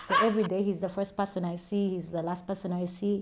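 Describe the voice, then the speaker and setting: A woman of medium pitch speaks at a fairly quick pace over noticeable background noise. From Uganda, Kampala. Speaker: YouTuber and TV personality. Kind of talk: casual Q&A vlog.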